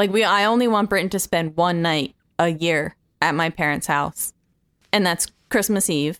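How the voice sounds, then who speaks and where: A woman with an unremarkable speaking voice talks at a fairly low pitch and a moderate pace, with ordinary pitch variation and very even loudness. The recording is very clean with a silent background, and the sound is dry and close with no echo. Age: 30s. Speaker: litigant in a podcast mock court. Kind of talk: casual chat.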